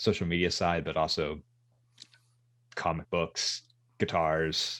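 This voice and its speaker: A man's very deep, low voice in a monotone, flat delivery, very cleanly recorded against a silent background. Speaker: social media manager. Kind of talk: podcast interview. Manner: halting, many repetitions and fillers.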